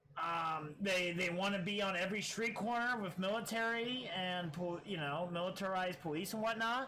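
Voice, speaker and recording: Amid noticeable background noise and audible room echo, a man with an American accent uses a raised, projected voice at a high pitch, speaking at a moderate pace with ordinary pitch variation, very even loudness and hardly any pauses. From US Midwest, small-town Iowa. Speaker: streamer. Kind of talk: casual political livestream commentary. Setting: live stream. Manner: halting, many fillers and repeated words.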